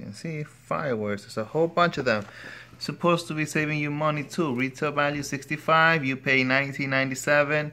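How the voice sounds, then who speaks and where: Fairly quick and bright, with a sharp tone, a man speaks at a fairly high pitch in a Spanish accent. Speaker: product reviewer, father. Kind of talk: casual product review.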